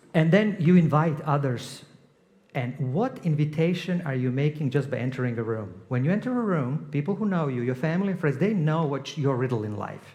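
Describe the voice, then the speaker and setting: This man has a non-native accent and a somewhat breathy, fairly high voice. He talks at a fairly quick pace with lively intonation. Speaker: guest preacher and leadership coach. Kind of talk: sermon. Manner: conversational, with hesitations.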